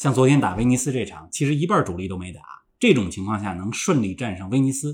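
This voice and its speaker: A man talks very fast at a medium pitch with lively intonation. His voice is somewhat breathy, and the recording is very clean with a silent background. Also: big swings in loudness. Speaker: football pundit. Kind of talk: casual chat.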